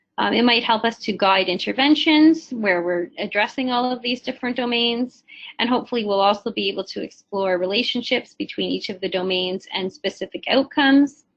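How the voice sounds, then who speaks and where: Talking at a fairly quick pace with hardly any pauses, a woman uses a fairly high pitch and ordinary pitch variation. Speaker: nurse researcher presenting her study. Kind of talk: webinar presentation. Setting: webinar broadcast. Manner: hesitant, many fillers.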